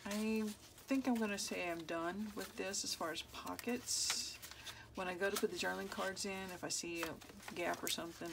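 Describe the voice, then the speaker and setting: Against noticeable background noise and audible room echo, a woman talks at a moderate pace. Her pitch varies in an ordinary way. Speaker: crafter, journal maker. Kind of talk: casual crafting tutorial. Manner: mumbling, thinking out loud.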